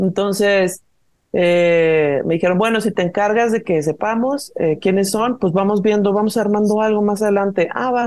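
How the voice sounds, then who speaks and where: A woman has an unremarkable speaking voice of medium pitch, talking at a moderate pace with ordinary pitch variation and very even loudness. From Mexico, Guadalajara. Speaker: singer-songwriter and producer. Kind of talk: casual interview chat.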